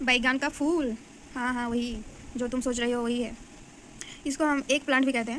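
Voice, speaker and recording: Keeping a moderate pace, a woman with a high voice speaks in a monotone, flat way with long, frequent pauses. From Bengal, India. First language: Bengali (speaking Hindi). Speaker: biology teacher. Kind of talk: tutorial. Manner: halting, many fillers.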